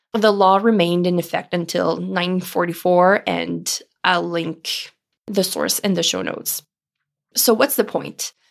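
A woman with a French accent and a fairly low pitch speaks at a fairly slow pace with fairly even intonation, in a very clean recording with a silent background. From Ontario, Canada (Franco-Ontarian). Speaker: podcast host, psychotherapist. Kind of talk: solo podcast monologue.

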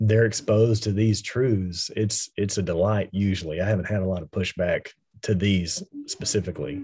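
A somewhat breathy man with a dark, mellow tone and fairly low pitch speaks at a moderate pace over a quiet background. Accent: American. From West Texas. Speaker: pastor and author. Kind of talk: casual theological interview.

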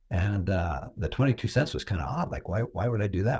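Fairly quick, somewhat breathy speech in an American accent with lively intonation, on a very clean recording with a silent background. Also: man. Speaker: philanthropist and self-made millionaire. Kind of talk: interview.

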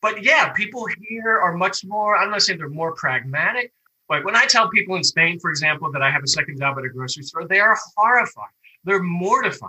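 A man with an American accent uses a raised, projected voice with a bright, sharp tone. His pitch is high and his pace fairly quick. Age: 60s. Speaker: grocery store worker. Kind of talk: interview. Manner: halting.

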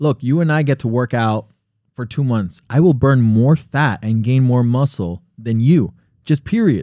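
This man has a plain, everyday voice at a medium pitch, with an American accent, a moderate pace and ordinary pitch variation, recorded very cleanly against a silent background with a dry, close sound and no echo. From US, Connecticut-born, Colombian family. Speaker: podcast co-host. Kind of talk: casual chat. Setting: studio.

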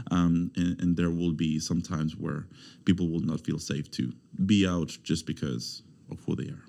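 In a Spanish accent, a man talks at a moderate pace with a very deep, low pitch, ordinary pitch variation and a dark, mellow tone, on a very clean recording with a silent background. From Mexico, Veracruz. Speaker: university student recruitment officer. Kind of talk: interview.

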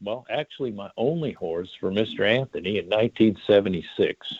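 The speaker has a plain, everyday voice and an American accent. The pace is fairly slow, with lively intonation. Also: man. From Omaha, Nebraska. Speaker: horse racing manager. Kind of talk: interview. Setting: phone call.

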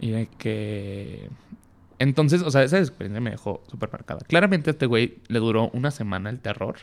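In an unremarkable speaking voice, a man with a medium pitch talks at a fairly quick pace with lively intonation. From Mexico, Tepic, Nayarit. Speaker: podcast guest sharing coming-out story. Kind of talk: casual chat, personal testimony.

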